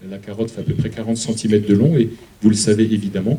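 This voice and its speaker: A man speaks with an Alsatian accent at a fairly low pitch and fairly even intonation. Audible room echo surrounds his voice. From Alsace, France. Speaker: museum curator. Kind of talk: public lecture.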